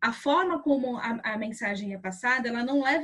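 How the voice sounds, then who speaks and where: Here a woman speaks in a high voice. Her pitch varies in an ordinary way. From São Paulo, Brazil (south zone, Capão Redondo). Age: 30s. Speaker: journalist and activist. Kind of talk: interview. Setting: remote recording from home.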